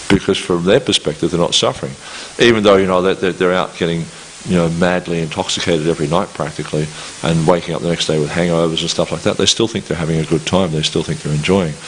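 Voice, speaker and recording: Through noticeable background noise, a man with a very deep, low pitch speaks at a very fast pace with fairly even intonation. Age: 60s. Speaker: scripture lecturer. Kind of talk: lecture. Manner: halting, many repetitions.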